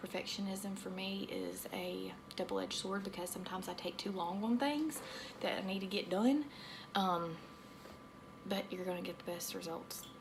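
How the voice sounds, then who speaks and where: With a slight Southern US accent, a woman speaks at medium pitch and a moderate pace with ordinary pitch variation over noticeable background noise. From US South. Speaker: aesthetician. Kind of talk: tutorial. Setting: home treatment room. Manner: rambling, casual.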